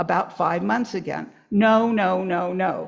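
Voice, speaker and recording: With ordinary pitch variation, a woman speaks at medium pitch with vocal fry. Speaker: author. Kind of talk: reading aloud from own book.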